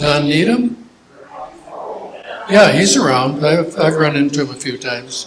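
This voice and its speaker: Over noticeable background noise, a man with an American accent speaks at a fairly slow pace with long, frequent pauses and a fairly high pitch. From Minnesota. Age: 80s+. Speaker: church elder sharing memories. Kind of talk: casual Q&A talk. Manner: halting.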